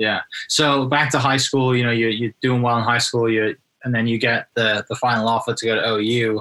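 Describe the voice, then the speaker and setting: A man with a British accent talks at a moderate pace, his intonation monotone and flat and his loudness very even. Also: medium pitch for a man. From UK. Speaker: podcast host and real estate agent. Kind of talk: interview conversation.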